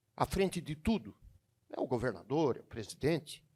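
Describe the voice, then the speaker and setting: The speech keeps a moderate pace while moving through very wide pitch swings. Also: man. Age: 60s. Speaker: state deputy. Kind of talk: audience question. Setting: business event with audience.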